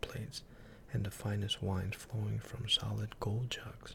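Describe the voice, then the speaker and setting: A man speaks softly. His pace is fairly slow. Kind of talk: ASMR story reading. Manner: soft-spoken.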